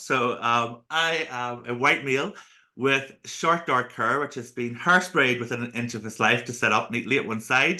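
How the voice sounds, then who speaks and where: Speaking with a Northern Irish accent, this voice has a bright, sharp tone and ordinary pitch variation. There are hardly any pauses. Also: man. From Northern Ireland. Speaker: accessibility speaker and consultant. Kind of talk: podcast interview. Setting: home office, video call. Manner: talkative.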